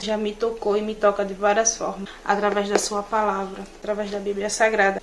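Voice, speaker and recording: A woman's fairly high voice at a moderate pace, over noticeable background noise. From Natal, Rio Grande do Norte, Brazil. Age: 20s. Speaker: beauty and hair content creator. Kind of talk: religious testimony to camera.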